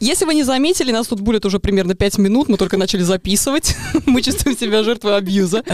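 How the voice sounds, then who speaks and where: A woman with a non-native accent talks at a very fast pace in a fairly high pitch, with lively intonation and very even loudness. Noticeable background noise is present. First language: not Russian (speaking Russian). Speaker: podcast host. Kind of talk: casual chat.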